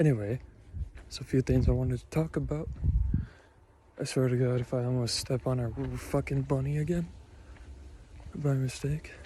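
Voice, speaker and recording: A man's somewhat breathy voice with a dark, mellow tone, fairly even intonation and long, frequent pauses. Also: medium pitch for a man, moderate pace. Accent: American. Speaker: vlogger. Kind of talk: casual monologue vlog. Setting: outdoors in a park, cold. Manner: hesitant, many fillers.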